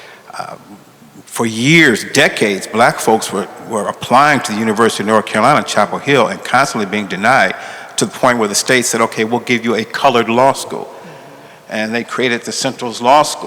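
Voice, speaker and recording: A man's medium-pitched voice at a fairly quick pace, with ordinary pitch variation and noticeable background noise. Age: 60s. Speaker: law school dean, civil rights lawyer. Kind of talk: panel discussion. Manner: halting.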